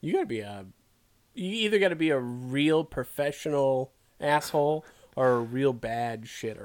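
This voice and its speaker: A man's normal speaking voice, fairly high in pitch, with lively intonation at a moderate pace. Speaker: comedy podcast co-host. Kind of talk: mock radio DJ banter, riffing comedy chat.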